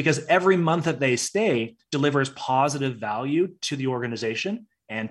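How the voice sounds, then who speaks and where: Over a quiet background, a man with fairly high pitch and a plain, everyday voice speaks at a fairly quick pace with lively intonation. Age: 30s. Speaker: HR consultancy founder and CEO. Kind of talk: interview conversation.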